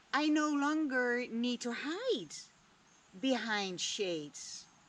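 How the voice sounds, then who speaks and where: A woman speaks at a high pitch with very wide pitch swings. Her pace is very slow, and the room echo is audible. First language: Dutch. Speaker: vlogger. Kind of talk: reflective monologue.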